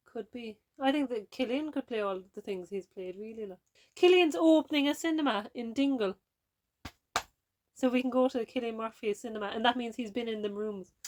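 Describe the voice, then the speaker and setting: In a Kerry accent, a woman with a fairly high pitch speaks at a fairly quick pace with ordinary pitch variation. Her loudness swings a lot, and the sound is dry and close with no echo. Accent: Kerry Irish. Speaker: podcast co-host. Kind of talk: casual chat. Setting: camper van.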